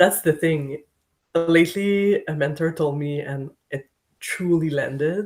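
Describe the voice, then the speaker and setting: A fairly slow pace with a French accent. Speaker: podcast guest. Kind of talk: casual chat.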